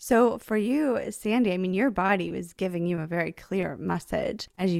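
Music plays behind a woman who speaks at a moderate pace with ordinary pitch variation, the sound dry and close with no echo. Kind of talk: casual interview chat. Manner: warm, enthusiastic.

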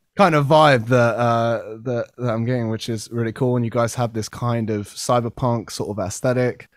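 A man with a British accent, medium pitch, moderate pace, fairly even intonation and hardly any pauses. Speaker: podcast host. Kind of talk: casual chat.

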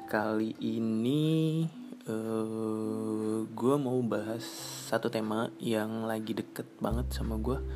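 At a very slow pace, a man with a medium-pitched voice makes very wide pitch swings over noticeable background noise. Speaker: podcast host. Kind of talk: casual solo monologue. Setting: home recording in rented room. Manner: rambling with many fillers and hesitations.

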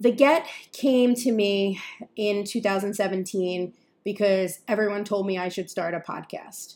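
In a New York accent, a woman speaks at a very slow pace, her pitch medium with ordinary variation. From New York area. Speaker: podcast host, journalist and content creator. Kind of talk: scripted-style solo podcast intro.

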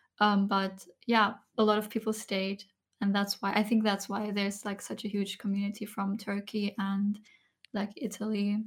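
Soft-spoken and somewhat breathy, the voice stays monotone and flat on a very clean recording with a silent background. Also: woman, medium pitch for a woman, moderate pace. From Germany. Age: 20s. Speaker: ASMR content creator. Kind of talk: soft-spoken podcast interview.

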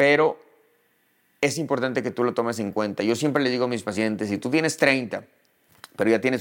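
Very clean audio with a silent background carries a man's unremarkable speaking voice. He speaks at a fairly quick pace and a medium pitch, with ordinary pitch variation. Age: 40s. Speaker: dermatologist. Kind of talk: educational monologue.

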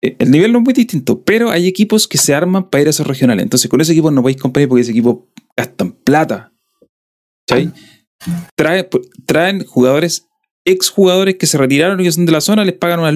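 Speaking with a southern Chilean accent, a man talks at a very fast pace. His fairly high voice swings very widely in pitch. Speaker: podcast host. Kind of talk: casual chat.

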